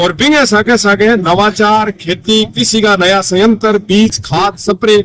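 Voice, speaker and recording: This man speaks at a high pitch with very even loudness and ordinary pitch variation. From Rajasthan. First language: Rajasthani (speaking Hindi). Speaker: writer and language activist. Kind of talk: interview. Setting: outdoors at a farm fair.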